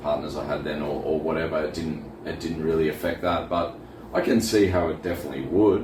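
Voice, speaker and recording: A man with an Australian accent speaks in a very deep, low pitch with ordinary pitch variation at a fairly quick pace. Audible room echo and noticeable background noise surround him. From Australia, Wollongong area, New South Wales. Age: 40s. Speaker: scenic artist. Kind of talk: casual interview chat. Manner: halting.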